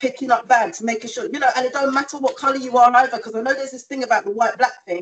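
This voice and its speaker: A woman with a British accent talks at a very fast pace with hardly any pauses. Her pitch is high and her loudness swings widely. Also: ordinary pitch variation. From England. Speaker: community campaigner; guest. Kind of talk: panel discussion. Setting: video call. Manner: animated. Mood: earnest, impassioned. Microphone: video call.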